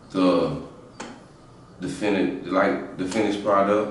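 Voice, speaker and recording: Over noticeable background noise and audible room echo, a man talks at a moderate pace in a fairly low pitch. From South Carolina, small country town. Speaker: rapper. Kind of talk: interview. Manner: halting, repeats words.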